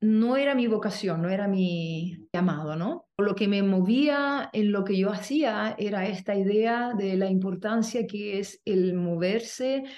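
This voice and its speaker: Delivered at a very slow pace with hardly any pauses, the speech shows ordinary pitch variation against audible room echo. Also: woman, medium pitch for a woman. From Chile. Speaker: movement teacher and artist. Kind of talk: interview conversation.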